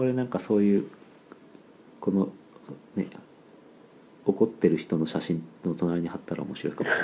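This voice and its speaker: A man speaks at a fairly low pitch with a dark, mellow tone. Long pauses come often. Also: ordinary pitch variation, moderate pace. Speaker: animal podcast co-host. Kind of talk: casual chat. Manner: sluggish, low-energy.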